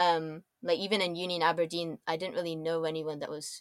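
With an American accent, a woman talks at a very fast pace. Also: dry, close sound with no echo. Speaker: designer. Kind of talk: casual chat.

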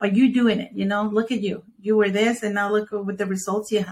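At a fairly quick pace, a woman speaks with a medium pitch and monotone, flat intonation. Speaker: podcast host. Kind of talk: interview.

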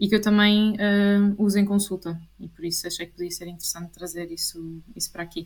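Somewhat breathy, a woman's medium-pitched voice moves along at a fairly quick pace. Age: 20s. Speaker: clinical psychologist. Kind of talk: interview.

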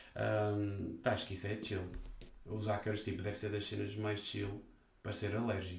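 With audible room echo, a man speaks at a moderate pace in a fairly low pitch. His voice is somewhat breathy, and his intonation is monotone and flat. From northern Portugal. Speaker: podcast host. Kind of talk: casual chat.

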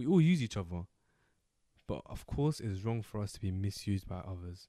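Over a silent background on a very clean recording, a man with a London accent speaks at a fairly low pitch. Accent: London multicultural English. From Somali heritage, raised in UK. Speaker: podcast co-host. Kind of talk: casual chat.

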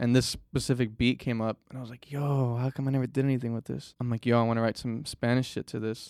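On a very clean recording with a silent background and a dry, close sound with no echo, a man with an American accent talks at a fairly quick pace, medium in pitch and monotone in intonation. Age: 20s. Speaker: musician. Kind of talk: casual chat.

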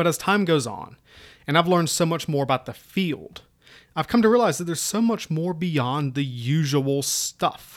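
A man's fairly high voice with lively intonation and an Appalachian accent. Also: moderate pace. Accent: Appalachian Southern US. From US South, Southwest Virginia (Appalachia). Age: 30s. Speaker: military history podcaster, army staff sergeant. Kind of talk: solo podcast introduction. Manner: casual, self-deprecating.

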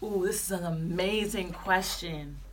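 In a Long Island accent, a woman with a fairly low pitch speaks amid noticeable background noise and audible room echo. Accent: New York (Long Island). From New York, Long Island. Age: 20s. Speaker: podcast host. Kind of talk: casual chat. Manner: animated.

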